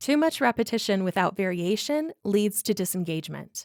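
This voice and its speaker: This is a normal speaking voice with lively intonation. The recording is very clean, with a silent background. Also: woman. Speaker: voiceover artist, podcast host. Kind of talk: podcast monologue, reflective essay narration. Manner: calm, measured, conversational.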